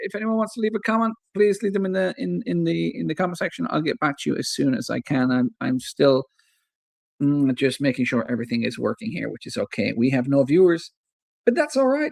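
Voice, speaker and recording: A man with an Irish Midlands accent, very wide pitch swings and a fairly quick pace, in a dry, close sound with no echo. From Ireland, Athlone (Irish midlands). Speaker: football fan streamer. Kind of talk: live match commentary. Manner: casual, chatty with fillers.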